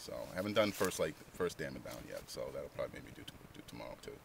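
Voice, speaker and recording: Against noticeable background noise, a man speaks at a very fast pace in a dry sound with no echo. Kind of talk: interview answer. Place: waterside.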